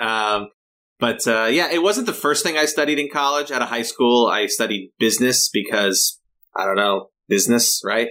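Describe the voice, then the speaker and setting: A man with a Californian accent speaks at a moderate pace, his pitch medium and his tone bright and sharp. The intonation is lively, and the recording is very clean with a silent background. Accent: Californian American English. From Southern California, Los Angeles County. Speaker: localization project manager. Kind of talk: interview. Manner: halting, many fillers and repeats.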